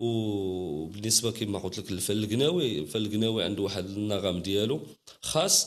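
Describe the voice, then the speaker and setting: A man at a moderate pace and a fairly low pitch. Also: ordinary pitch variation. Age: young. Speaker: Gnawa master musician. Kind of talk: interview. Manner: halting.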